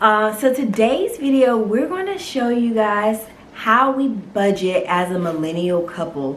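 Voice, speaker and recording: A fairly slow woman's voice with an American accent, fairly high in pitch with lively intonation, over noticeable background noise. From North Carolina. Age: 20s. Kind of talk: casual talk to camera.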